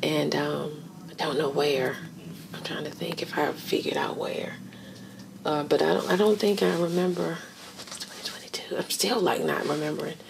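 Over noticeable background noise, a woman with an American accent speaks at a moderate pace, with long, frequent pauses. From Virginia. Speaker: director of a transitional jobs program; interviewee. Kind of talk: oral history interview. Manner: halting, many fillers. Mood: calm, reflective. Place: home room.

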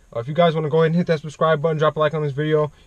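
Dry with no echo, a man's voice comes through somewhat breathy. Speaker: car YouTuber; car vlogger. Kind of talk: casual vlog commentary. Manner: casual, filler-heavy. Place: car. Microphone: phone near.

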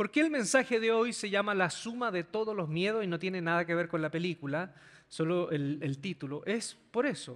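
A high-pitched male voice against a quiet background. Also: lively intonation, moderate pace. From Chile. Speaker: pastor. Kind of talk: sermon. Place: stage. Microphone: handheld.

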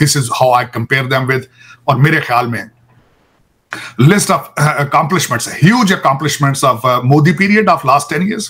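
Bright and sharp in tone, a man with a fairly high pitch speaks at a moderate pace with lively intonation. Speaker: political commentator. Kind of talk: political talk show discussion.

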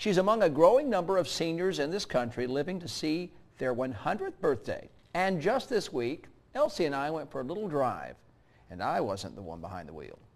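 Talking at a fairly quick pace, a man shows vocal fry, very wide pitch swings and big swings in loudness. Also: fairly high pitch for a man. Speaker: TV news reporter. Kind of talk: TV news feature narration.

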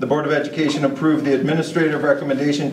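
A man talks at a very fast pace. The room echo is audible, with light background noise. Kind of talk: formal reading of meeting agenda items. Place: meeting room.

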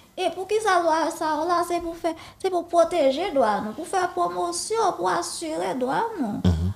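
A woman's extremely high pitch with lively intonation at a fairly slow pace. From Haiti, Port-au-Prince. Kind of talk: interview.

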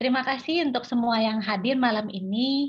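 Somewhat breathy female voice at a moderate pace, ordinary pitch variation, quiet background. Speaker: host of an online meditation session. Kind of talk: host's welcome and introduction. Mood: warm, calm. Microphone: video call.

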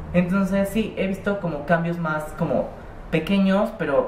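A woman talks at a moderate pace, with audible room echo and light background noise. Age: 20s. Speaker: vlogger. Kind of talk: casual vlog monologue. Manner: rambling, hesitant. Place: home room. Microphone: webcam.

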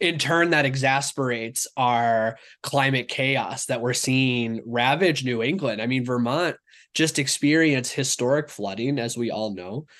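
A man speaks in a plain, everyday voice at medium pitch and a fairly slow pace. The background is quiet. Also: ordinary pitch variation. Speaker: food network organizer. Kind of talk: interview.

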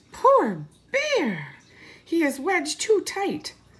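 A put-on character voice, squeaky and extremely high-pitched, delivered at a very slow pace.

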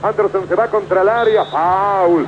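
A man with a high pitch talks at a fairly quick pace over noticeable background noise. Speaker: football radio commentator. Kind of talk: live football radio commentary, 1980s match call. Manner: rapid-fire, breathless play-by-play that swells into exultant shouting at the goal; urgent, tense, clipped ball-by-ball delivery, calling out minute and second counts.

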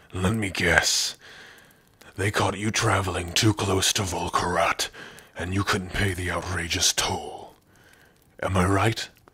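A man puts on a raspy character voice with a very deep, low pitch. He goes at a fairly slow pace with long, frequent pauses. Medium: audio drama. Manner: gruff, sardonic, bitter.

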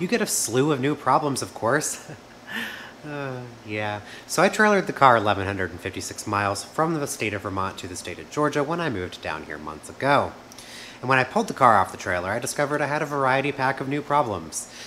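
Over light background noise, a man talks at a very fast pace with very wide pitch swings. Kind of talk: casual vlog chat. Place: garage. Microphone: camera far.

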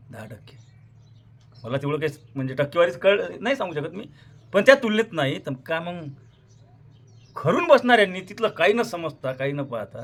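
Animated and high-pitched, a man's voice moves through very wide pitch swings and big swings in loudness. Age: 50s. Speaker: farmer activist and social media creator. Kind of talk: monologue to camera.

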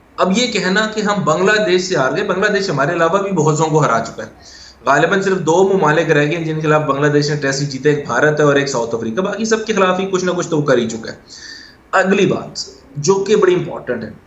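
A man with a high pitch and lively intonation talks at a moderate pace with hardly any pauses, his voice carrying audible room echo. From Pakistan. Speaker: cricket analyst. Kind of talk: interview. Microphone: video call.

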